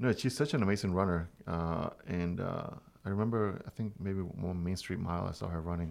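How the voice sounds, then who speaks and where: A man speaks at a fairly quick pace with ordinary pitch variation. His voice is very deep and low. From Venezuela. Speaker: podcast host. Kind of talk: casual interview.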